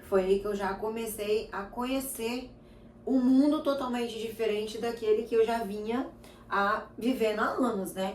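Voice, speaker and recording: This woman talks at a moderate pace with a fairly high pitch and ordinary pitch variation. Audible room echo surrounds her voice. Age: 30s. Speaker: lifestyle vlogger. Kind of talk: casual chat.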